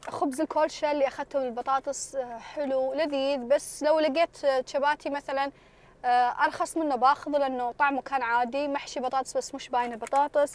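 The recording has a dry sound with no echo, carrying a woman's high-pitched voice with fairly even intonation. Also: moderate pace. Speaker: food vlogger. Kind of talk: casual vlog chat. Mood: relaxed, pleased. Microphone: phone near.

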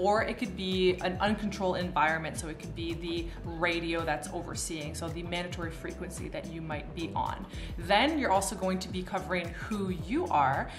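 A woman talks at a moderate pace, hardly pausing. Clear music sits in the background. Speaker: aviation vlogger. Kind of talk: tutorial. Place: home room.

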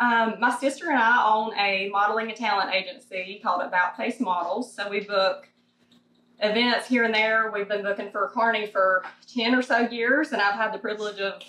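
A fairly high-pitched woman's voice with a Southern US accent, fairly quick and fairly even in intonation, with audible room echo. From Thomasville, North Carolina. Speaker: model, talent agency owner. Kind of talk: interview answer. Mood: cheerful, excited.

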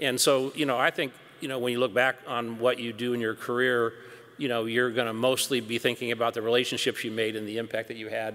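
Speaking very fast, a man uses monotone, flat intonation with an American accent. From US Pacific Northwest (Seattle). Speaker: company CEO; panelist. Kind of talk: onstage interview; interview answer. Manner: hesitant with fillers. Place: hall. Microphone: podium.

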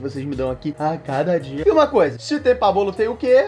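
A man talks at a fairly quick pace, and faint music can be heard in the background. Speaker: youtuber. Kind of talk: casual vlog chat. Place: home room.

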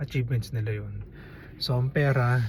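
A man with a medium pitch speaks at a fairly slow pace in a somewhat breathy voice. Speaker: vlogger. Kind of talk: casual commentary monologue.

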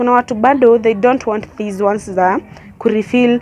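Speaking at a fairly quick pace, a woman has a fairly high pitch, ordinary pitch variation and a slightly mellow tone.

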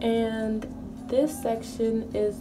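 A woman's voice over background music. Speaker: hair care vlogger. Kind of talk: tutorial. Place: bathroom. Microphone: phone near.

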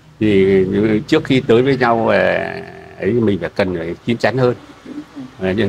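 A man talks at a fairly slow pace with ordinary pitch variation. Light background noise is present. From northern Vietnam, Bac Ninh; northern Vietnam. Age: 60s. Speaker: matchmaking show participant; interview guest. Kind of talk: casual conversation. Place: garden. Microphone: lapel.

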